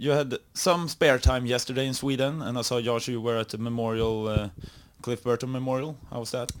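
The speaker has a normal speaking voice. Delivery runs at a fairly quick pace with fairly even intonation. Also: man, medium pitch for a man. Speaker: radio host. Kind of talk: interview.

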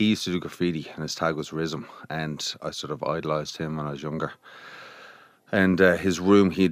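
With a Dublin accent, a man speaks at a moderate pace in a very deep, low pitch and a monotone, flat intonation. The recording is very clean, the background silent. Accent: Dublin Irish. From Dublin, Ireland. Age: 40s. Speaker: visual artist. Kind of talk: casual interview. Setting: studio. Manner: relaxed.

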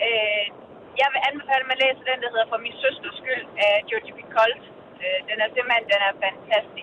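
A fairly high-pitched woman at a moderate pace, fairly even in intonation, with noticeable background noise. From Denmark, Korsør (Zealand). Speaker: radio caller. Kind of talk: phone-in book recommendation. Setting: phone call.

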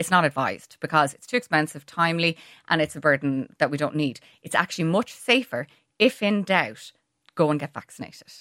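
A woman with an Irish accent speaks fairly quickly in a very deep, low voice with a bright, sharp tone. Her intonation is lively, her loudness swings widely, and the sound is dry and close with no echo. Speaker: pharmacist. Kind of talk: radio interview.

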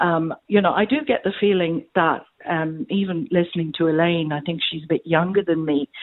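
A woman talks with an Irish accent at a fairly low pitch, with ordinary pitch variation. Her moderate pace has hardly any pauses. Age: 70s. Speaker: caller. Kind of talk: phone-in radio chat. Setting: phone call.

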